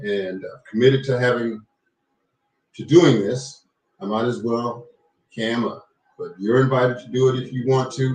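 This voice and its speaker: Pausing long and often, a man of medium pitch keeps a moderate pace and fairly even intonation. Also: big swings in loudness. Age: 60s. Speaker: talk show host, retired radio presenter. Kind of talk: live-stream talk show monologue. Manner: measured with frequent fillers.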